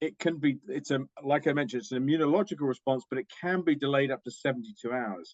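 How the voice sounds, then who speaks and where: A man with a British accent talks at a very fast pace. His pitch is fairly high and his intonation is lively. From UK. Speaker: diagnostics company executive. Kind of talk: interview.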